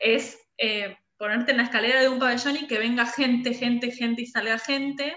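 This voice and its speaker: Her high voice stays monotone and flat at a moderate pace. The woman speaks with hardly any pauses. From Argentina, La Pampa (Santa Rosa). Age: 30s. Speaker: design studio director. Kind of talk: interview.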